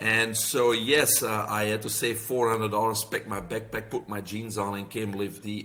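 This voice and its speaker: A man with a Belgian accent speaks at a fairly low pitch and moderate pace in a bright, sharp tone, his intonation monotone and flat with hardly any pauses. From Belgium. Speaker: health practitioner and author. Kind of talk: podcast interview.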